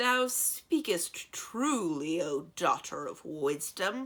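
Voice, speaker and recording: A put-on character voice, booming and loud, at a very slow pace. The pitch sits in the middle but swings very widely. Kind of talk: archaic, formal.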